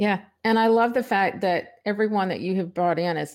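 With ordinary pitch variation, a woman speaks in a normal speaking voice. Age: 60s. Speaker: podcast host. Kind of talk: interview.

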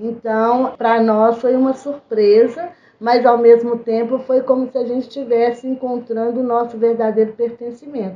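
This woman's voice is high-pitched, with monotone, flat intonation. She keeps to a moderate pace. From Brazil, Belo Horizonte. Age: 50s. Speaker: community political organizer. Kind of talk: interview.

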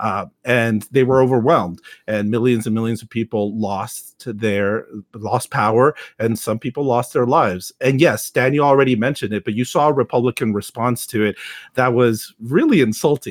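Speaking in a medium pitch with an American accent, a man has an unremarkable speaking voice and ordinary pitch variation, recorded very cleanly against a silent background with a dry, close sound and no echo. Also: moderate pace. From Texas. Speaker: podcast host. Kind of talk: casual chat.

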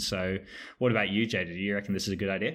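This man has a fairly low pitch and an Australian accent. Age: 30s. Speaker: podcast host and finance journalist. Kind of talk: casual chat. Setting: video call.

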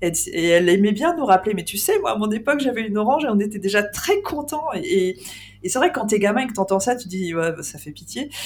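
A woman speaks at a very fast pace with very wide pitch swings and big swings in loudness. Music plays in the background. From France, Île-de-France. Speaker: podcast host, ghost hunter. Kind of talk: casual chat.

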